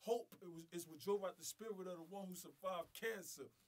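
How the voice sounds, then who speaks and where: Here a man speaks with a high pitch. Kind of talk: spoken word poetry performance. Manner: powerful, emphatic.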